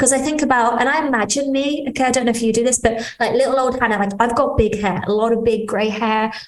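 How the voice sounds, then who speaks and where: Over noticeable background noise and audible room echo, a woman with a British accent speaks at a very fast pace in a high pitch, with hardly any pauses, very even loudness and fairly even intonation. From Britain. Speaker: integrative healing business owner. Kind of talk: interview conversation.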